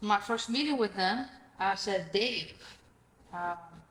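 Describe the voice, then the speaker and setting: Very slowly, a woman with a Greek accent speaks at a medium pitch with ordinary pitch variation. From Greece. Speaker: real estate investor. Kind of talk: podcast interview. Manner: animated.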